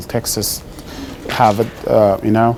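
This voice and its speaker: A man with a Sudanese accent speaks at a fairly slow pace. There is noticeable background noise. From Sudan (Khartoum), Nubian. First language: Sudanese Arabic. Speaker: guest presenter to school class. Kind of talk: classroom presentation. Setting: middle school classroom. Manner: conversational, frequent 'right?' checks.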